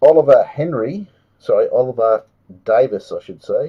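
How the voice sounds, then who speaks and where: A fairly slow pace in an Australian accent. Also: man. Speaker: trading card box break host. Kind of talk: live stream card break commentary. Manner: casual, chatty.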